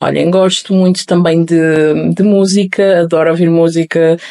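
A woman at a fairly low pitch and fairly slow pace, monotone and flat. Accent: European Portuguese. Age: 20s. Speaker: podcast host. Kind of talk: solo podcast introduction.

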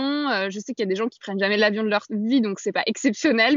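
A woman talks at a fairly quick pace in an ordinary speaking voice. Her pitch is fairly high. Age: 20s. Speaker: adventurer and feminist author. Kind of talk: casual interview.

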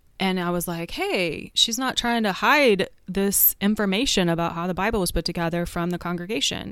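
In a very clean recording with a silent background, a woman with an American accent speaks at a moderate pace in a fairly low pitch, an unremarkable speaking voice. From Oklahoma City, US. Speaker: pastor. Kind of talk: interview conversation.

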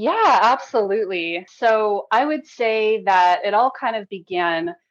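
A woman with an American accent speaks in a normal speaking voice at a fairly slow pace, medium in pitch with lively intonation. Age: 30s. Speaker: massage therapist and life coach. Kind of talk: interview.

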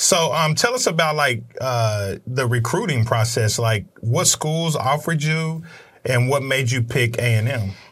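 A man with an American accent at a medium pitch, fairly slow pace, ordinary pitch variation, very even loudness and noticeable background noise. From Oklahoma (Midwest City). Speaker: podcast host. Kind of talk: casual interview. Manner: animated.

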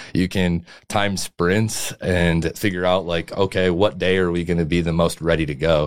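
With vocal fry, a man speaks in a very deep, low pitch. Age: 20s. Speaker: strength and conditioning coach. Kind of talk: casual chat.

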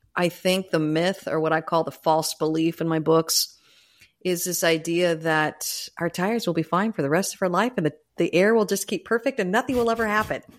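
At a fairly quick pace, a woman speaks in a normal speaking voice with fairly low pitch, ordinary pitch variation and very even loudness. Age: 50s. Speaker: leadership coach and author. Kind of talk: interview conversation.

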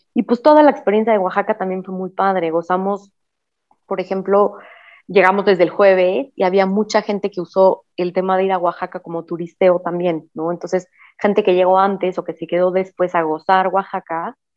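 A woman with an ordinary speaking voice talks at a moderate pace, her medium pitch carrying fairly even intonation. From Mexico City. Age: 30s. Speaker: recently married bride. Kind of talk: casual chat.

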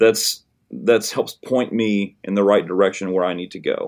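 A man at a moderate pace with a Tennessee accent, on a very clean recording with a silent background. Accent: US Southern (Tennessee). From Middle Tennessee, Hickman County. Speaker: high school band director. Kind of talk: interview.

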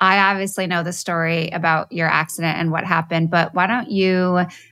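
A fairly quick pace with music in the background. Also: woman. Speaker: podcast host. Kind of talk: casual interview. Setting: studio.

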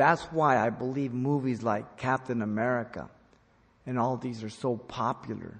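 Here is an ordinary speaking voice at a moderate pace. Its intonation stays fairly even. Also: man. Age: 60s. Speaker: pastor. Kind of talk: sermon. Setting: church, also broadcast on radio and internet.

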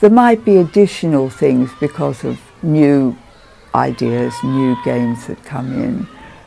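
A woman talks at a fairly slow pace. Noticeable background noise runs beneath her. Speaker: interviewee sharing childhood memories. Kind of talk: oral history interview.

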